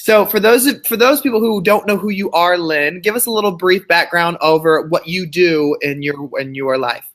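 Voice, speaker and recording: A man with an American accent and a high pitch speaks at a moderate pace with lively intonation and hardly any pauses. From Texas. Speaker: podcast host. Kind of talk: interview.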